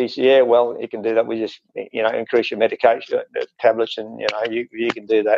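A man with an Australian accent speaks, and the background is quiet. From Queensland, Australia. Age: 70s. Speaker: interview guest, former diabetic. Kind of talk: interview answer. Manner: hesitant, many fillers. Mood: relaxed, pleased. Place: home room. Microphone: earbuds.

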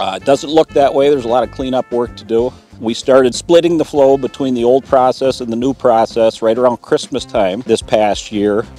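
A man talks at a fairly quick pace with hardly any pauses and ordinary pitch variation. The sound is dry with no echo, and faint music plays in the background. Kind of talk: interview answer. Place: open country.

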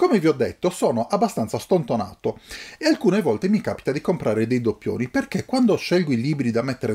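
At a fairly quick pace, a man speaks in a dark, mellow tone with very wide pitch swings. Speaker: book YouTuber. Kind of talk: casual unboxing monologue. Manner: halting.

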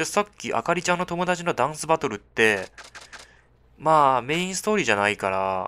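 This man has a fairly high pitch and a bright, sharp tone, with very wide pitch swings. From China. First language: Chinese (speaking Japanese). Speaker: gaming YouTuber. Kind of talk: game commentary with dialogue read aloud. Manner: animated, frequent laughter.

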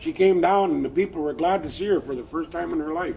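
A man with an American accent, high pitch and lively intonation at a moderate pace, with light background noise. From US Pacific Northwest, Lummi Nation; Pacific Northwest. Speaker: storyteller. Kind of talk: traditional storytelling. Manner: animated. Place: street. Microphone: camera far.

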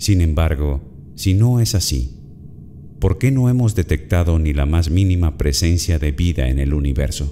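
Fairly slow speech over light background noise. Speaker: voice actor. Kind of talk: promo narration. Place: studio. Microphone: studio mic.

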